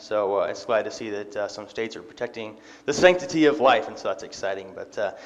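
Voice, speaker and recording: A man speaks with big swings in loudness. Room echo is audible. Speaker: lay preacher. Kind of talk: sermon. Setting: church. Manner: fast; casual, frequent fillers.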